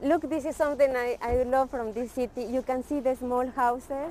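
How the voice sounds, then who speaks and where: Delivered at a moderate pace with a Spanish accent, the speech has hardly any pauses and a monotone, flat intonation. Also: woman. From Ecuador. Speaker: vlogger showing the city to students. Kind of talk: casual walking tour chat.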